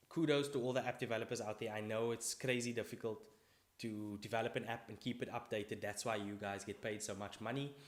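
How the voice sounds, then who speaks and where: At a very fast pace, a man talks in a medium pitch with fairly even intonation. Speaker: vlogger. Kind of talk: casual vlog monologue. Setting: recording alone to camera.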